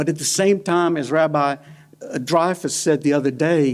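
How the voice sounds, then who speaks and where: Fairly high in pitch, a man speaks with fairly even intonation. The recording is very clean and the background silent. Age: 60s. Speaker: panel speaker at a synagogue. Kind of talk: personal testimony talk. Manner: halting, with frequent repetitions.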